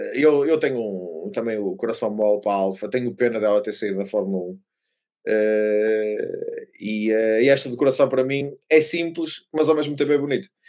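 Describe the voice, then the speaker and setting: A man's medium-pitched, dark and mellow voice with a European Portuguese accent at a moderate pace. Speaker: F1 podcast co-host. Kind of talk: casual chat. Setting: remote recording.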